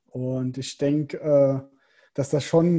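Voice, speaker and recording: Somewhat breathy and dark, mellow in tone, a man's fairly high voice moves at a fairly slow pace with fairly even intonation. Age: 20s. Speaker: professional triathlete. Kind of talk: casual interview.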